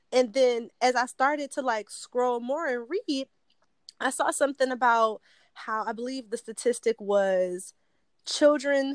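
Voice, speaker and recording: Speaking with an American accent, a woman uses a plain, everyday voice with fairly high pitch, ordinary pitch variation and a moderate pace, in a dry, close sound with no echo. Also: very clean recording, silent background. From Detroit. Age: 20s. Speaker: podcast host. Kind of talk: casual interview.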